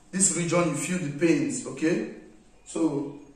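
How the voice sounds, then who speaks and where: Audible room echo surrounds speech that unfolds at a fairly slow pace. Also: man. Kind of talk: explaining while treating a client. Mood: calm, reassuring. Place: home room. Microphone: camera far.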